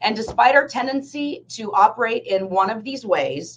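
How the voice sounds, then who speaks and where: A woman speaks at a fairly slow pace in a fairly high pitch. Her intonation is lively. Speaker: business professor and consultant. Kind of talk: workshop presentation. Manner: loud; expressive.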